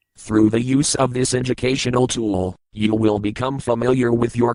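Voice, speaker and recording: In a put-on character voice, a man growls at medium pitch and a moderate pace. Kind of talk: software tutorial voice. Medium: comedy sketch. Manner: stilted, mechanical.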